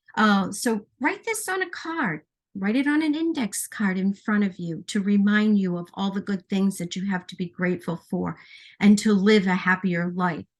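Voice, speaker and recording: Somewhat breathy, a woman at medium pitch speaks with lively intonation. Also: moderate pace, quiet background. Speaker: baking and essential oils presenter. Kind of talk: live stream baking demonstration. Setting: home kitchen. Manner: hesitant, many fillers.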